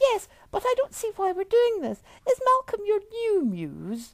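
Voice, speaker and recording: Raised and projected, a squeaky put-on character voice at extremely high pitch moves at a moderate pace. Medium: read story. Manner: teasing, flirty.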